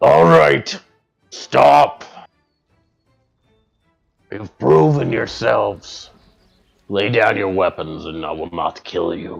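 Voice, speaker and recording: A man's booming, raspy put-on character voice, very deep and low, with lively intonation, big swings in loudness, a very slow pace, long, frequent pauses, and faint music in the background. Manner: commanding, authoritative.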